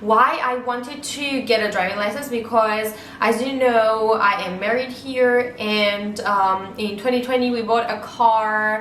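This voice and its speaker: Speaking with an Armenian accent, a woman uses a fairly high pitch and fairly even intonation at a fairly slow pace. There is audible room echo along with noticeable background noise. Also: hardly any pauses. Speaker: vlogger. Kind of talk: informational vlog talk. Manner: halting with frequent fillers.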